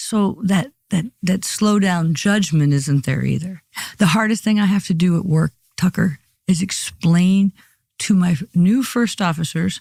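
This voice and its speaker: Somewhat breathy and fairly low in pitch, a woman speaks with ordinary pitch variation in a dry, close sound with no echo. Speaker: airline pilot. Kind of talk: interview. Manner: fast.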